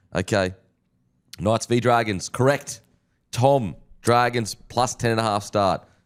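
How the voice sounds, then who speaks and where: The speaker has an Australian accent and ordinary pitch variation. Loudness stays very even, broken by long, frequent pauses. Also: man, medium pitch for a man, fairly slow pace, very clean recording, silent background. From Queensland, Australia. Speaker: sports podcast host. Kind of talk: casual sports review.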